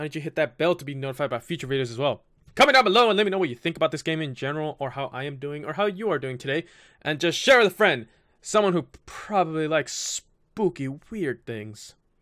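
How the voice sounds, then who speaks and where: A man speaks at a very fast pace with lively intonation. His tone is bright and sharp, and the background is quiet. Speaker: gaming youtuber. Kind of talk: casual vlog outro. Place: home room. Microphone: studio mic.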